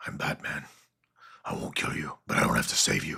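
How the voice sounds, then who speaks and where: This is a put-on character voice with a raspy edge. It moves at a fairly quick pace. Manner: menacing.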